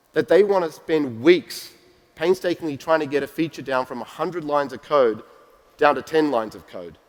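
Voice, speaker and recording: With an Australian accent, a man talks at a fairly quick pace, showing ordinary pitch variation and big swings in loudness. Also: fairly high pitch for a man. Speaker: tech company executive giving keynote. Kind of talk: conference keynote. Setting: stage with audience.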